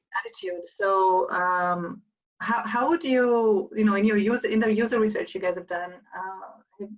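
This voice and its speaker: At a moderate pace, a woman with an Israeli accent speaks in a fairly high pitch with ordinary pitch variation. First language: Hebrew. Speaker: event moderator. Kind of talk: live interview Q&A.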